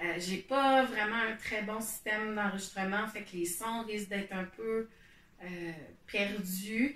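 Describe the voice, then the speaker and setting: In a Quebec accent, a woman talks at a very slow pace with fairly even intonation. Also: fairly high pitch for a woman. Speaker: knitting podcaster and meditation guide. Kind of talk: casual explanatory talk to camera. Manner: hesitant, many fillers. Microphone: poor home recording setup.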